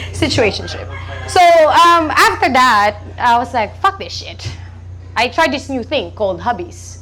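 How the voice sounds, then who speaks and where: Talking at a fairly slow pace, a woman with a Filipino accent is heard over noticeable background noise and audible room echo. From Philippines. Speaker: stand-up comedian. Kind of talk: stand-up. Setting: stage with audience. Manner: halting, many ums.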